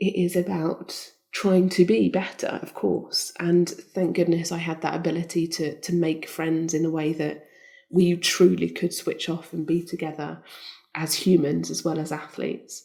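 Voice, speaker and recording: This soft-spoken voice has a dark, mellow tone, some vocal fry, and fairly even intonation. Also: woman, fairly low pitch for a woman, moderate pace. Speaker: Olympic skeleton champion. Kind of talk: interview answer.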